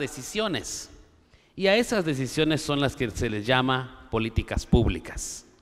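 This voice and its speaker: A man speaks at a very slow pace. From Guatemala, Maya K'iche' community. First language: K'iche' (Mayan) (speaking Spanish). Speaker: conference panelist on education policy. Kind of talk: conference speech. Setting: auditorium with audience. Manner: formal.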